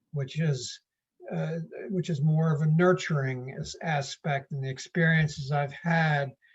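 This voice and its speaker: Speaking at a fairly slow pace, a man uses fairly even intonation and a somewhat breathy voice. His pitch sits fairly high. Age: 70s. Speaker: poet. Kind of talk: casual chat. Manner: halting.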